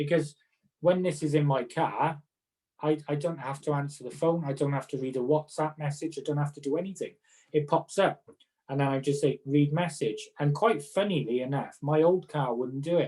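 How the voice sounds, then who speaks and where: With a Welsh accent, this man speaks at a moderate pace in a fairly high pitch, his dark, mellow tone somewhat breathy and his intonation fairly even. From Wales. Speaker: occupational therapist. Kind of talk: casual chat.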